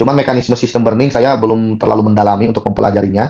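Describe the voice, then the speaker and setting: Talking at a very fast pace, a man uses a medium-pitched voice with a dark, mellow tone. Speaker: crypto staking promoter hosting a Zoom session. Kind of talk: online presentation and Q&A. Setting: video call. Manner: animated.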